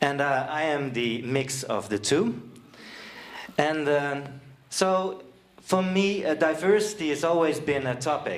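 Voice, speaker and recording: In a Dutch accent, a man speaks at a fairly high pitch with ordinary pitch variation. Room echo is audible. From Netherlands, Friesland. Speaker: seminar presenter. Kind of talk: presentation. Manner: halting, many fillers.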